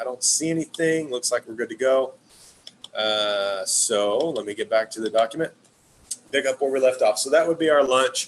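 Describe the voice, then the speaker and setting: A man speaks over noticeable background noise. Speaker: wellness product distributor. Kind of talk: webinar presentation. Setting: live stream. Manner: fast.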